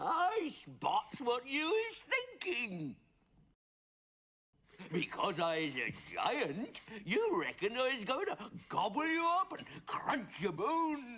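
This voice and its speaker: Put-on character voice, fairly high in pitch, with very wide pitch swings, a fairly slow pace and long, frequent pauses. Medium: read story. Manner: ungrammatical, mangled speech; warm, chuckling.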